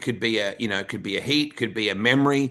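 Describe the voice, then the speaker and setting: A man at medium pitch with an Australian accent, talking at a fairly quick pace over a quiet background. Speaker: podcast host. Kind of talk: interview conversation.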